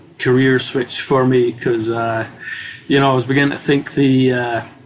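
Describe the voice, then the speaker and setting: Noticeable background noise sits under speech that is monotone and flat, at a moderate pace. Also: man. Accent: Scottish. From Scotland. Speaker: cybersecurity executive. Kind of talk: interview. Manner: halting.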